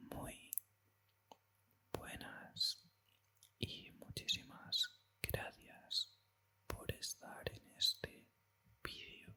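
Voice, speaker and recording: A man whispers in a calm tone at a very slow pace, with long, frequent pauses. His loudness swings widely, and background noise is noticeable. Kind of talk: ASMR whispered talk. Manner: whispered, calm.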